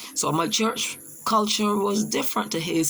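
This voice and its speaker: A woman with a Barbadian accent, lively intonation and a fairly slow pace, over noticeable background noise. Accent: Barbadian (Bajan). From Barbados. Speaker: teacher. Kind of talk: personal testimony presentation. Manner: halting.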